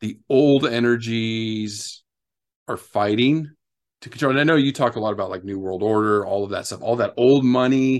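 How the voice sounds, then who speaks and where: Against a quiet background, a man talks at a moderate pace with a medium pitch and ordinary pitch variation. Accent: American. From US, Southern California. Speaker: guest, academic and spiritual healing enthusiast. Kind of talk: casual chat.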